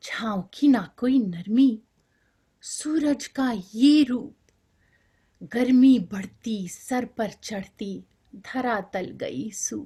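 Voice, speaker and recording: Pitched high and dark, mellow in tone, a woman speaks with a Bengali accent. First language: Bengali (speaking Hindi). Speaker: poet. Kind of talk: poetry reading. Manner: rhythmic.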